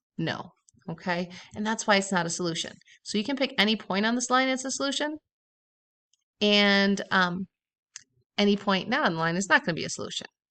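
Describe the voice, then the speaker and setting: A woman's bright, sharp voice at medium pitch, with lively intonation, a fairly quick pace, long, frequent pauses and a quiet background. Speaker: math teacher. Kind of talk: tutorial. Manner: casual.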